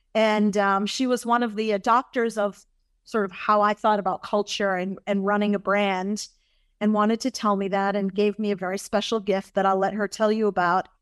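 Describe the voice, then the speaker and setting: In an American accent, a woman speaks at a medium pitch and a moderate pace with monotone, flat intonation. The sound is dry and close with no echo, and the background is quiet. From Massachusetts, US. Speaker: cruise line executive. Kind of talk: interview conversation.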